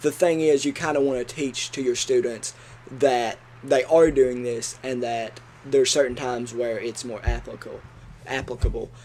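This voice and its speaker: A man with an Appalachian accent at medium pitch, moderate pace and fairly even intonation. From Kentucky, Appalachia. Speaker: education student podcast co-host. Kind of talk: casual educational discussion.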